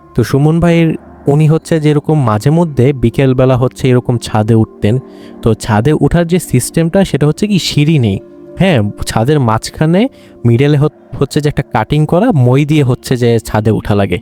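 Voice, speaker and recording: With music in the background, a man's fairly high voice shows ordinary pitch variation and very even loudness in a dry, close sound with no echo. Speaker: horror story podcast host. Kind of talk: conversational horror story narration. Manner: casual, hesitant with fillers.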